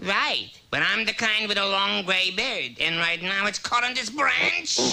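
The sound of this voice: A cartoonish character voice at middle pitch holds a moderate pace.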